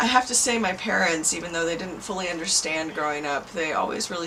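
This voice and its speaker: A woman with a Californian accent and very deep, low pitch, lively intonation and a fairly quick pace, with audible room echo and noticeable background noise. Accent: Californian American English. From Southern California (Irvine). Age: 30s. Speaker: psychic healer. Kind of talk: interview testimony.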